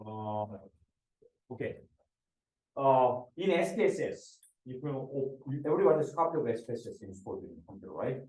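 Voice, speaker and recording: A man with a dark, mellow, somewhat breathy tone and fairly high pitch speaks at a moderate pace with lively intonation, big swings in loudness and long, frequent pauses, in a room with audible echo. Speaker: professor. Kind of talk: lecture. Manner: halting, many fillers and repetitions.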